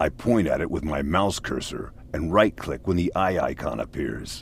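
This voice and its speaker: In a put-on character voice, a man speaks with a very deep, low pitch at a moderate pace. Clear background noise runs behind him. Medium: video game. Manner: patient, dry.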